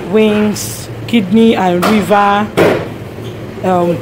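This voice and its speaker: Ordinary pitch variation comes through over noticeable background noise. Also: woman. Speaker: vlogger. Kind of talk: casual vlog chat. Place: shop. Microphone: phone near.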